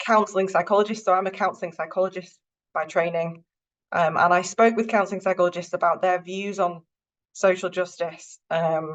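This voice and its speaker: A woman with a Northern English accent talks at a fairly quick pace in a flat monotone. The background is quiet. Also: medium pitch for a woman. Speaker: university lecturer, counselling psychologist. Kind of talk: lecture.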